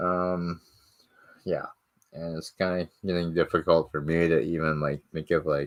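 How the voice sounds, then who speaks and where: His very deep, low voice moves at a fairly slow pace, flat and monotone, broken by long, frequent pauses. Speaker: streamer. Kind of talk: casual chat. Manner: halting.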